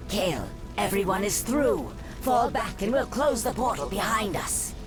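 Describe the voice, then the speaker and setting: Loud music plays in the background behind a put-on character voice. The pitch is fairly high and the pace moderate. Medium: short film. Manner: haughty, cold.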